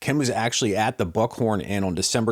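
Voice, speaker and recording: A man with an American accent at a very fast pace, on a very clean recording with a silent background. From US, central Pennsylvania (Altoona). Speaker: podcast host. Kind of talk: podcast introduction.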